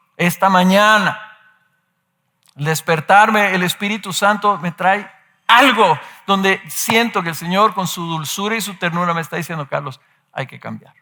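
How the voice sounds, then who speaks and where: A man speaks in a raised, projected voice with a high pitch and ordinary pitch variation. His loudness swings a lot, and his pace is fairly slow. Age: 60s. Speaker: pastor. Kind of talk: sermon.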